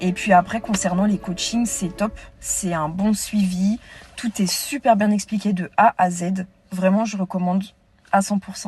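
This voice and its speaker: Music plays in the background as a woman speaks at a medium pitch. Her pace is fairly slow, and her intonation is fairly even. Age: 20s. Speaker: coaching client giving testimonial. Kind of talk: testimony.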